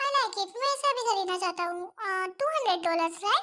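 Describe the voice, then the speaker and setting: A woman's squeaky, put-on character voice at an extremely high pitch, very fast pace and lively intonation. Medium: fan dub.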